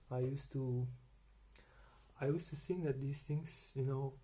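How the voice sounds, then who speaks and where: A man's fairly high, somewhat breathy voice with a dark, mellow tone and monotone, flat intonation. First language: Dutch. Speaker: vlogger sharing personal medical experience. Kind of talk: unprepared personal rant. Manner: halting, with many repetitions and fillers.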